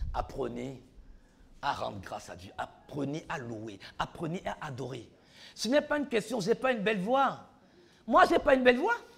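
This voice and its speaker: Speaking at a moderate pace with long, frequent pauses, a man sounds animated, his loudness swinging widely. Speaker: preacher. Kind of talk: sermon. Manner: repetitive, animated.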